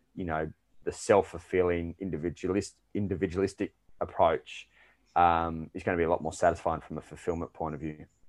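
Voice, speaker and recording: A man with an Australian accent speaks at a moderate pace in a very deep, low pitch with fairly even intonation. The sound is dry and close with no echo, over a quiet background. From Australia, Melbourne. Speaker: performance and lifestyle coach. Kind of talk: podcast interview.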